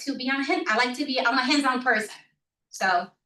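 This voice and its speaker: Loud and bright, a woman's voice rings with a sharp tone at a fairly high pitch. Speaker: village trustee. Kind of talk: board meeting report. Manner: halting, many fillers.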